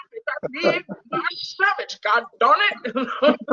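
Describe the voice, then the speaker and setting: A put-on character voice pitched extremely high. It moves at a very slow pace. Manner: throwing a tantrum, indignant.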